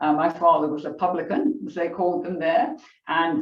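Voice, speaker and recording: Audible room echo surrounds a woman with a strong English accent. She has a fairly low pitch and lively intonation. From England. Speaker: author. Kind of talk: book club discussion.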